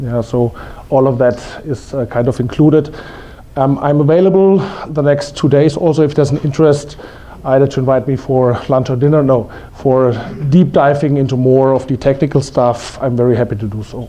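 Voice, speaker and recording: With a German accent, a man talks at a fairly quick pace and fairly even intonation over noticeable background noise. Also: medium pitch for a man. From Germany. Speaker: investment strategy presenter. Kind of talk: conference presentation. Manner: halting, many fillers.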